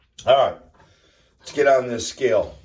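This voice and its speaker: With an American accent, a man speaks in a somewhat breathy voice with ordinary pitch variation. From US Northeast. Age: 50s. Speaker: fitness vlogger. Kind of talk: casual vlog monologue. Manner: casual, with fillers.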